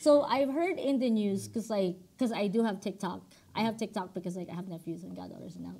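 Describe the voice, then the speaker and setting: A woman's dark, mellow voice with vocal fry, very fast, with ordinary pitch variation. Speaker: podcast co-host. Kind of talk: casual chat. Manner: loud.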